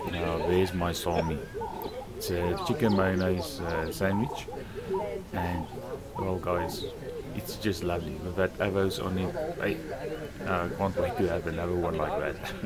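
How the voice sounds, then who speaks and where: The speech moves at a fairly slow pace, broken by long and frequent pauses. Loud background noise runs underneath. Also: man. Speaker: motorcycle vlogger. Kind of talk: casual vlog chat. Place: cafe. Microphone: phone near.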